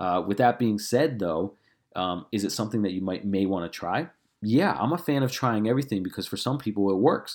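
In a very clean recording with a silent background, a man with a fairly low pitch speaks at a fairly quick pace, his tone energetic and his intonation lively. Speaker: fitness coach. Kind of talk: casual solo Q&A. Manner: fast talker; casual, energetic.

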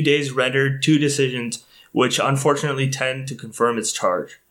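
This is a normal speaking voice, delivered at a fairly quick pace with fairly even intonation. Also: man. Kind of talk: reading aloud a historical telegram. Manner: formal, solemn, stately.

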